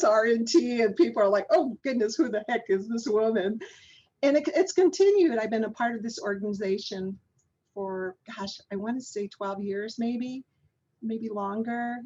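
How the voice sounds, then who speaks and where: An unremarkable speaking voice from a woman with an American accent, fairly high in pitch, at a moderate pace, with lively intonation and big swings in loudness. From US Southwest, Navajo Nation. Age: 50s. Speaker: physician and public health researcher. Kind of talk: interview conversation.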